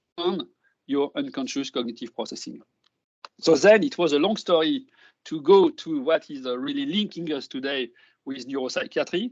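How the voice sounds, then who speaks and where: Speaking with a French accent, a man has a fairly high pitch and lively intonation. He keeps a moderate pace. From France. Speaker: neuroscience professor. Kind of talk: lecture. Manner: halting.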